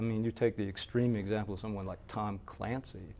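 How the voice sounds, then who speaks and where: Speaking in a Southern US accent, a man keeps a moderate pace and medium pitch in a very clean recording with a silent background. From Mississippi. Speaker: fiction writer and professor. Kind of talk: interview answer. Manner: hesitant, conversational.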